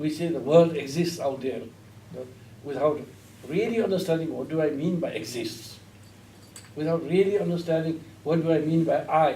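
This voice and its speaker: A man talks at a moderate pace in a fairly high pitch with ordinary pitch variation. Long, frequent pauses break his speech, and audible room echo surrounds it. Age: 60s. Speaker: Buddhist teacher. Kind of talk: lecture. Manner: halting.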